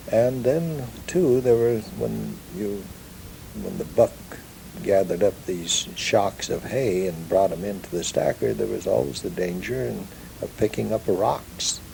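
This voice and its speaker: Someone with a Pacific Northwest accent talks at a fairly slow pace over noticeable background noise. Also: man. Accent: Pacific Northwest American English. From Ellensburg area, Kittitas County, Washington, USA. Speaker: ranch-raised oral historian. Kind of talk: oral history recollection.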